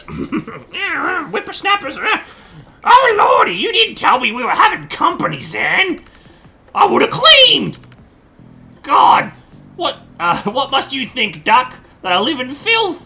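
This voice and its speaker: Music plays behind a put-on character voice pitched high, moving at a fairly slow pace with long, frequent pauses. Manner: fussy, flustered.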